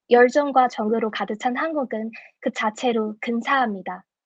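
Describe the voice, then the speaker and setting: A woman's high-pitched voice with a Chinese accent, ordinary pitch variation and a moderate pace. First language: Chinese (speaking Korean). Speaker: speech contest contestant. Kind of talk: prepared speech; judge Q&A answers.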